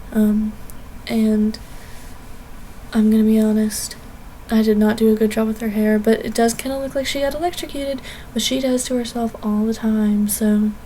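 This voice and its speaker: With noticeable background noise behind her, a woman speaks at a fairly high pitch with fairly even intonation and long, frequent pauses. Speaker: art YouTuber. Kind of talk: speedpaint voiceover commentary. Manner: fast; casual, many fillers.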